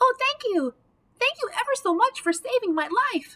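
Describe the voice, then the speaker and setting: A woman does a put-on character voice, squeaky and extremely high in pitch. She keeps a moderate pace. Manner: grateful, earnest.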